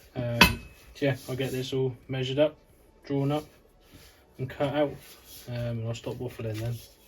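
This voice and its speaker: A man talks at a moderate pace with monotone, flat intonation and long, frequent pauses. Noticeable background noise runs underneath. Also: medium pitch for a man. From Cornwall, England. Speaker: car fabricator. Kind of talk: casual talk to camera.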